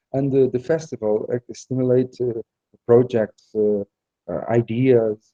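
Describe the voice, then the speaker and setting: A man speaks with fairly even intonation and a dark, mellow tone, in a dry, close sound with no echo. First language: Portuguese. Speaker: festival organizer and comics artist. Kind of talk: interview. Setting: festival venue, live stream. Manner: halting, searching for words.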